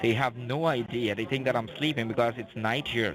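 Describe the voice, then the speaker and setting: Over noticeable background noise, a man speaks at a fairly quick pace in a medium pitch with ordinary variation. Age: young. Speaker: phone scammer. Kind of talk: confessional phone conversation. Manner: halting, repeats words.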